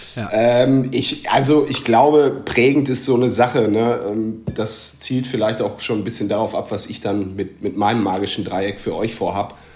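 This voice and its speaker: Against noticeable background noise, a man speaks at a medium pitch with hardly any pauses. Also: ordinary pitch variation, moderate pace. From Westphalia, Germany. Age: 30s. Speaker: football fan. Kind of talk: casual chat.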